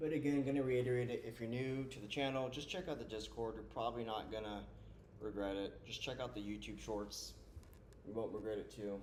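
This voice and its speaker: The speech moves at a fairly quick pace, with audible echo from the room. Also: man, medium pitch for a man, ordinary pitch variation. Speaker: live trading streamer. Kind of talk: live stream commentary. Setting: live stream. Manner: loud; casual.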